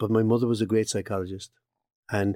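A man talks at a very fast pace in a Cork accent. His pitch is medium, and the recording is very clean with a silent background. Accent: Irish, Cork. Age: 60s. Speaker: occupational psychologist. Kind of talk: interview.

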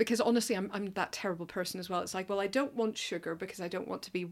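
The speech comes very fast, with ordinary pitch variation. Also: woman. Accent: Northern Irish. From Northern Ireland. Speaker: film journalist, podcast co-host. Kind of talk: casual interview chat.

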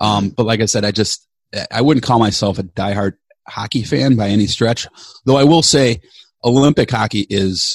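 An unremarkable speaking voice, with an American accent, at a moderate pace and with ordinary pitch variation. The sound is dry and close, with no echo. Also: man, fairly low pitch for a man. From Chicago, US Midwest. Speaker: podcast co-host and producer. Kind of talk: casual interview chat.

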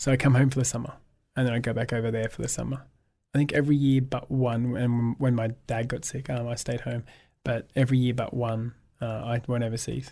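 A dark, mellow, monotone voice with flat intonation and an Australian accent, at a fairly quick pace over a quiet background. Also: man, medium pitch for a man. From Australia, south coast of New South Wales. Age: 30s. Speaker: photographer and author. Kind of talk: casual chat.

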